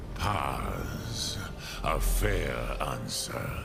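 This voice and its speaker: Over loud background noise and clear echo, a man performs a put-on character voice. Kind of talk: sprinkled with dragon-language words. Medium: machinima. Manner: slow, measured, contemplative.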